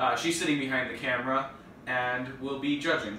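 Light background noise and audible room echo surround a man speaking at a moderate pace with fairly even intonation. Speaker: family video host. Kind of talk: casual vlog chat. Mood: playful, joking. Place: kitchen.

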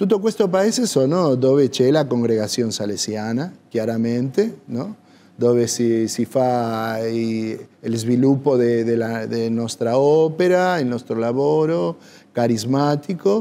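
A man with an Argentine accent speaks at a very slow pace in a dark, mellow tone. His pitch is medium and his intonation lively. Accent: Argentine Spanish accent in Italian. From Argentina. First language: Spanish (speaking Italian). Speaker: priest. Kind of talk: TV interview. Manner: halting, searching for words. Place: cafe.

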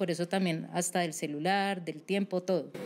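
The woman's pitch is medium, and she talks at a moderate rate. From Colombia, Cali. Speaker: psychologist; guest. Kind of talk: interview. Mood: calm, serious explanatory. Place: studio. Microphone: studio mic.

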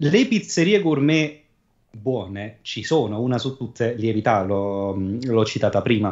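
A man speaks very slowly, and the background is quiet. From southern Italy, Cilento area; Southern Italy. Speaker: podcast guest; streamer. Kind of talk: casual chat. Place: home room. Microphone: studio mic.

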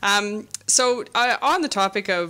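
A woman's medium-pitched voice shows ordinary pitch variation, with noticeable background noise in the recording. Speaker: museum interviewer. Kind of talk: interview. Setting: studio.

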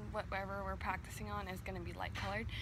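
A woman is speaking. There is noticeable background noise, and the sound is dry with no echo. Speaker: dog trainer. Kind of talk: tutorial. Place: garden. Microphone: phone near.

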